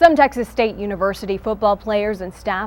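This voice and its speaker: This woman has an ordinary speaking voice with an American accent. She talks at a fairly quick pace with ordinary pitch variation. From Massachusetts. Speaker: TV news reporter. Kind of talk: TV news anchor read.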